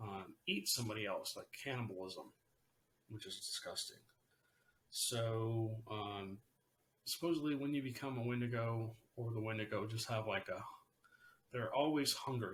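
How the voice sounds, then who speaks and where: A man at medium pitch speaks at a moderate pace with ordinary pitch variation and long, frequent pauses. His voice is somewhat breathy. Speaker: paranormal podcast host. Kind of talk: casual solo podcast talk. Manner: hesitant, many fillers.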